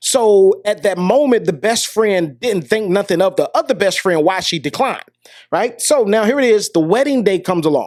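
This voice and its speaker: Delivered at a fairly quick pace, the animated voice comes through a very clean recording with a silent background. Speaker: podcast host. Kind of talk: casual storytelling monologue. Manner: fast.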